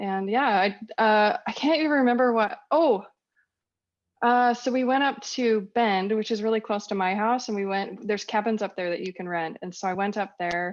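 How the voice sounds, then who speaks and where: A woman with an American accent and a fairly high pitch speaks at a moderate pace with ordinary pitch variation against a quiet background. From Northern California. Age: 40s. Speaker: raw vegan lifestyle influencer. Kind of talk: podcast interview.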